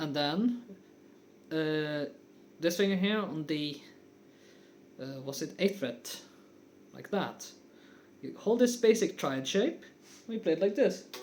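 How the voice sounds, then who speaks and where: Speaking very slowly in a non-native accent, a man with a high voice uses lively intonation, big swings in loudness and long, frequent pauses. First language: not English. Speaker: guitar teacher. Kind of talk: tutorial. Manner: casual, with frequent fillers.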